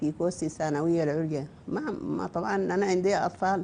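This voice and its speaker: A Sudanese accent with a dark, mellow tone at a moderate pace. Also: woman. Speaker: novelist. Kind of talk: interview.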